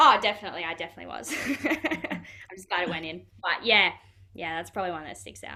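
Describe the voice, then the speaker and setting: With an Australian accent, the speech comes very fast with lively intonation and big swings in loudness, against noticeable background noise. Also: woman, fairly low pitch for a woman. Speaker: professional footballer. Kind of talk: interview. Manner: casual, many fillers.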